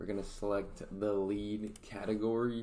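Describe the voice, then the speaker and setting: A man with an American accent speaks at a fairly low pitch in a dark, mellow tone. Room echo is audible. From Oregon, US. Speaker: real estate marketing YouTuber. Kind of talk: tutorial. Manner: casual, filler-heavy.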